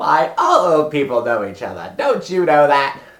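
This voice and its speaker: The speaker uses a put-on character voice at a middle pitch. The pace is moderate. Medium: solo performance. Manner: gleeful, quirky.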